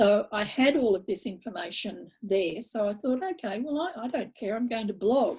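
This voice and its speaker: A woman with an Australian accent, fairly high pitch, lively intonation, a moderate pace and hardly any pauses. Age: 70s. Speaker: blogger and author. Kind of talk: interview conversation. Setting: video call.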